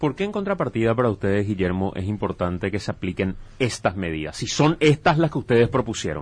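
This man's fairly low voice makes very wide pitch swings. He talks at a very fast pace with hardly any pauses. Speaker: radio host. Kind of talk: moderated debate.

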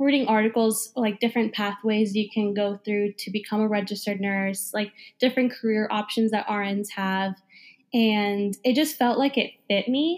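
With an American accent, a woman speaks at a moderate pace in an unremarkable speaking voice. Her pitch is fairly high, her intonation fairly even, and the recording is very clean with a silent background. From New Jersey. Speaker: nurse. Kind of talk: interview.

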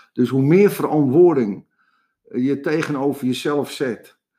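A man speaks at medium pitch with ordinary pitch variation. His tone is dark and mellow. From Amsterdam, Jordaan. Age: 70s. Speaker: coach and entrepreneur. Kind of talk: interview. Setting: studio. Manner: halting.

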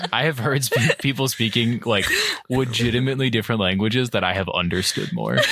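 A man with an American accent talks at a fairly quick pace with very even loudness. There is noticeable background noise. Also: medium pitch for a man, ordinary pitch variation. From Cleveland, Ohio. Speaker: college radio host. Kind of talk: casual chat. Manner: animated.

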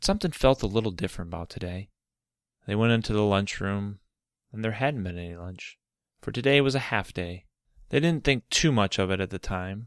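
A man with an ordinary speaking voice in an American accent, fairly low in pitch with ordinary pitch variation, at a fairly quick pace, in a very clean, dry, close recording with no echo and a silent background. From Michigan. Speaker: children's storyteller podcaster. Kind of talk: reading aloud a children's story.

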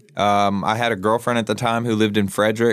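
On a very clean recording with a silent background, a man with a plain, everyday voice speaks at medium pitch and a moderate pace. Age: 20s. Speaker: guest in addiction recovery. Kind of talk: casual chat.

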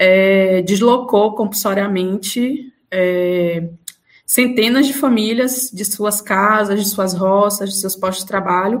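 The woman's pitch sits in the medium range, and her intonation is fairly even. She speaks at a very slow pace. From Bahia interior, Brazil. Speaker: law professor. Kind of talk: interview. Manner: hesitant fillers.

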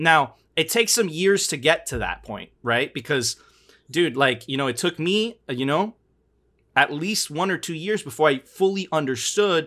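A man talks in a plain, everyday voice with an American accent. His pitch is fairly high, his intonation lively and his pace moderate. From Miami, US. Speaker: podcast host. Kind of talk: casual chat.

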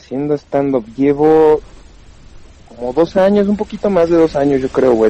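This man has a fairly high pitch with ordinary pitch variation, moving at a moderate pace as noticeable background noise plays behind. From Pachuca, Mexico. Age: 20s. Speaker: stand-up comedian. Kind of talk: casual chat.

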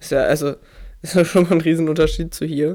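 The recording is very clean with a silent background, and the words come at a middling speed. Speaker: podcast host, interviewer. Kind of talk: interview-style casual chat.

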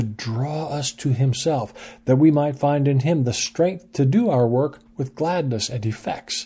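A man speaks fairly slowly at a fairly high pitch, somewhat breathy, with a dark, mellow tone. His pitch varies in an ordinary way against a quiet background. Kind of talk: scripted devotional teaching read aloud, with an introduction and sign-off. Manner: measured, earnest, formal.

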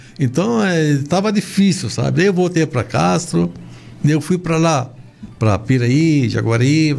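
A man talks with lively intonation and a fairly high pitch, keeping a moderate pace over noticeable background noise. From Lebanon. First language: Arabic (speaking Portuguese). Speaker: shoe store chain owner. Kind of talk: interview. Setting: studio.

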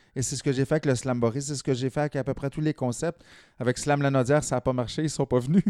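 A man with a dark, mellow tone and a fairly high pitch talks very fast with fairly even intonation, recorded very cleanly against a silent background with a dry, close sound and no echo. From rural Quebec. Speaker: slam poet. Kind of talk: casual interview.

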